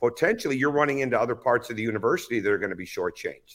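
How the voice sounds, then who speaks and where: Recorded very cleanly against a silent background, a man with an American accent talks at a medium pitch with ordinary pitch variation. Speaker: basketball coach. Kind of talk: interview. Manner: loud.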